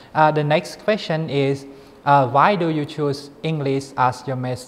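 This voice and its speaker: A man with a fairly high pitch, a fairly slow pace and a Thai accent. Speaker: graduate student interviewer. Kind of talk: interview. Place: studio. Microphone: lapel.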